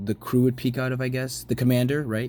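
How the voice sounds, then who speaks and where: The pace is fairly quick. It belongs to a man who is talking. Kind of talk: casual narration over photos. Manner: fast.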